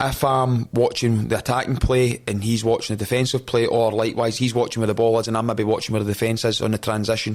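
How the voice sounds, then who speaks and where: A man with a Scottish accent speaks very fast, with hardly any pauses and at very even loudness. His medium-pitched delivery is a flat monotone. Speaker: football head coach. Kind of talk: podcast interview. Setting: podcast studio. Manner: intense, forceful.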